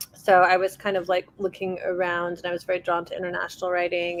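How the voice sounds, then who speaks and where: A woman speaks in a Persian accent. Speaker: author. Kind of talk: panel discussion.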